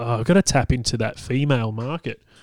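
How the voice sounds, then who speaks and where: With an Australian accent, a man speaks at a moderate pace. The recording is very clean, with a silent background. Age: 30s. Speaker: podcast host and comedian. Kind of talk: casual solo monologue. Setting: home recording, partner cooking nearby. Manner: halting, many fillers.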